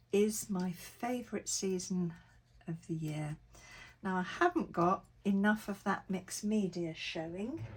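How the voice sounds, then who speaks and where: A woman speaks in a medium-pitched, somewhat breathy voice. Her pace is fairly slow, with ordinary pitch variation. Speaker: crafter. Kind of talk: tutorial. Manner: casual narration while working.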